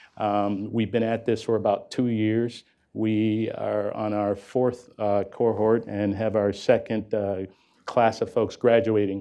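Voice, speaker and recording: A man with an American accent talks in a fairly low pitch at a fairly slow pace. His intonation is monotone and flat. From US inner city. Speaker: corporate executive running apprenticeship program. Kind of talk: panel discussion.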